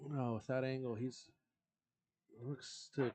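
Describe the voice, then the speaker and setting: At a moderate pace, a soft-spoken man with a medium pitch and a dark, mellow tone is heard in a dry, close sound with no echo. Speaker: billiards commentator. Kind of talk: live commentary.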